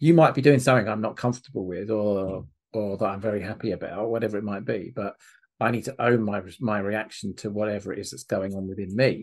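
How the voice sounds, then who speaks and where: A man speaks very fast in a fairly low pitch. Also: ordinary pitch variation. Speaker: relationship coach and podcast host. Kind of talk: interview.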